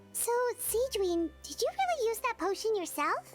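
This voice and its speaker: A woman does a put-on character voice, squeaky and extremely high, at a moderate pace. Music plays in the background. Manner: surprised.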